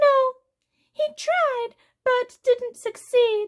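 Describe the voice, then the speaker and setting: An extremely high, squeaky put-on character voice. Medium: read story. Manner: casual, knowing.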